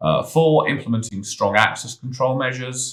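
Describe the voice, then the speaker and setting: A man with a British accent speaks at a fairly quick pace with lively intonation. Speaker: cybersecurity consultant. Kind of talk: tutorial. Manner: casual; halting, with fillers.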